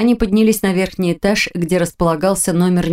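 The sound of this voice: An unforced reading voice is heard.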